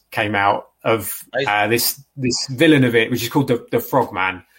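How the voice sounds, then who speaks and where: A man with an English accent speaks on a very clean recording with a silent background. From England, London area. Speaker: comic book writer. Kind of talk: casual interview. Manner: halting.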